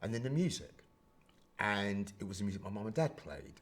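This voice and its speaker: Speaking with a London accent, a man talks at a fairly quick pace. His pitch sits fairly low. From Brixton, London. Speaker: HIV and queer activist. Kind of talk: podcast interview answer.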